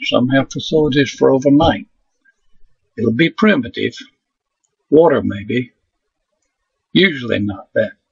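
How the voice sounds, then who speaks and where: At a fairly slow pace with long, frequent pauses, a man speaks in a calm tone with vocal fry, his fairly high pitch making very wide swings. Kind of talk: nature documentary narration. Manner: calm, unhurried, conversational storyteller; measured, gently inviting tone with short pauses.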